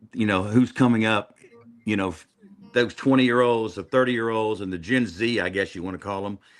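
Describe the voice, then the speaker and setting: In an unremarkable speaking voice, a man with an American accent and a fairly low pitch talks at a fairly quick pace with fairly even intonation and big swings in loudness. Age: 60s. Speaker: country singer. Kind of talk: casual chat.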